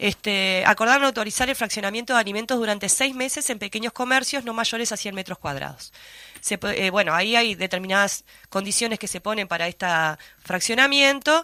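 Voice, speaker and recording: A woman with a Uruguayan accent speaks at a fairly quick pace in a fairly high pitch with ordinary pitch variation. Her tone is bright and sharp, on a very clean recording with a silent background. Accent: Uruguayan Spanish (Rioplatense). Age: 40s. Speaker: radio host. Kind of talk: news discussion. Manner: fast.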